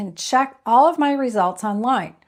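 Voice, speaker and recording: A woman speaks in an ordinary speaking voice at a moderate pace with lively intonation, on a very clean recording with a silent background. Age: 60s. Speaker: health video creator. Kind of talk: health advice talk. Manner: conversational.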